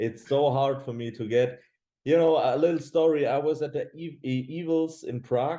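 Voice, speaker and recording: A man with a German accent speaks at a fairly high pitch in a dark, mellow tone. His pace is moderate and his intonation fairly even. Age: 20s. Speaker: professional bodybuilder. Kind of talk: casual chat. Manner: halting.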